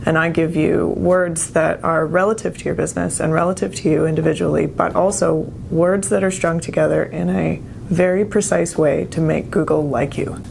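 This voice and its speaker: Over noticeable background noise and audible room echo, a woman speaks at a moderate pace with very even loudness. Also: hardly any pauses. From Canada. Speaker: copywriter, business owner. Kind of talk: interview.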